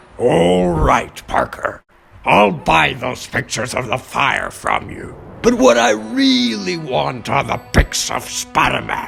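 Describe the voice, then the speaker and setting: In a raspy, put-on character voice at a medium pitch, a man speaks at a fairly slow pace over faint background music. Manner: loud, blustering.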